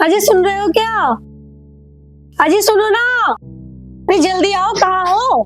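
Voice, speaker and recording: Shouting in a put-on character voice at an extremely high pitch, a woman speaks at a fairly slow pace with long, frequent pauses while faint music plays in the background. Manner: shouting, calling urgently.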